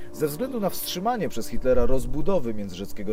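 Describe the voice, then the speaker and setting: Music runs underneath. Over it, a man rattles along at a very fast pace with lively intonation. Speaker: on-screen host, urban explorer. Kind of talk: documentary presentation on location.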